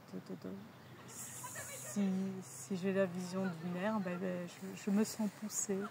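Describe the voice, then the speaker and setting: Very slow speech from a woman at medium pitch, ordinary pitch variation, noticeable background noise behind her. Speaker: energy healer. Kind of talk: interview. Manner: halting.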